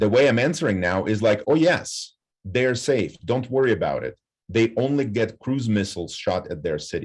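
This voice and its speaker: With a Ukrainian accent, a man speaks at a moderate pace and medium pitch. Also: lively intonation. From western Ukraine. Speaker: professor. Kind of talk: panel discussion. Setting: campus event with audience. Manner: halting.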